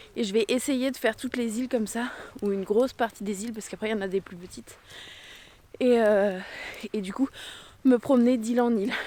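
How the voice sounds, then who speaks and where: A woman's dark, mellow tone at a fairly high pitch, a very fast pace broken by long, frequent pauses. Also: big swings in loudness. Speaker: travel vlogger. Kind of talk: vlog narration. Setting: outdoors. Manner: hesitant, many fillers.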